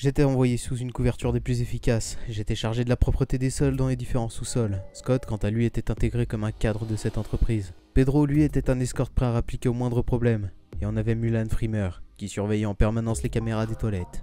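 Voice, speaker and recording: A man does a put-on character voice with a rumbling sound, medium pitch, ordinary pitch variation and a fairly quick pace. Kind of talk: comic parody dubbing. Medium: machinima. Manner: foul-mouthed, grumbling, sarcastic.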